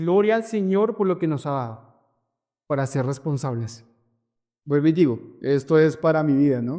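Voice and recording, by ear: A man's dark, mellow tone at a fairly high pitch and moderate pace, with ordinary pitch variation, on a very clean recording with a silent background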